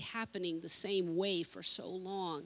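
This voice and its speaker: Using a normal speaking voice, a woman talks at a moderate pace and medium pitch with fairly even intonation. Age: 40s. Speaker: pastor. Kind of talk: sermon. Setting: church.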